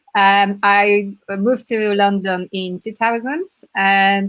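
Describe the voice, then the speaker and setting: In a Polish accent, a woman talks at a medium pitch with monotone, flat intonation. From Poland. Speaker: community team member, entrepreneur. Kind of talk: self-introduction in online discussion. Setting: live video stream.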